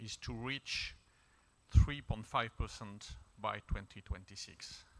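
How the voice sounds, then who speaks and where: A man with a French accent speaks fairly slowly at a medium pitch. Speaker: diplomat. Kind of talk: panel discussion contribution. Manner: formal.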